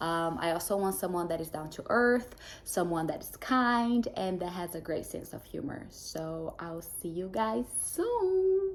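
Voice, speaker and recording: A woman with a Brazilian Portuguese accent, at a fairly slow pace with hardly any pauses. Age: 20s. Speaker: dating show contestant. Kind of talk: prepared self-introduction.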